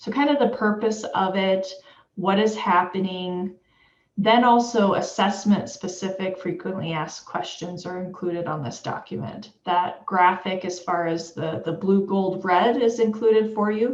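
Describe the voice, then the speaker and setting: A woman talks at a moderate pace in a medium-pitched voice with ordinary pitch variation. Room echo is audible. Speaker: education official presenting webinar. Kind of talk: webinar presentation.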